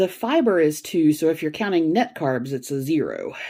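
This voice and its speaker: Against noticeable background noise, a woman with a fairly low pitch talks at a moderate pace with lively intonation. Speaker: food vlogger. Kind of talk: casual cooking vlog. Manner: casual, with fillers.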